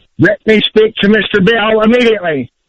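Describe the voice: A man talks at a fairly quick pace in a high pitch with ordinary pitch variation, and the sound is dry and close with no echo.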